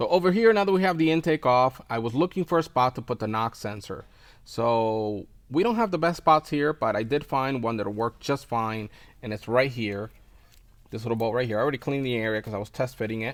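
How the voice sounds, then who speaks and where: A man's medium-pitched voice with lively intonation at a fairly quick pace, on a very clean recording with a silent background. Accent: non-native. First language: not English. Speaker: car tuning YouTuber. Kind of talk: tutorial. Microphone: wireless mic broken, different audio.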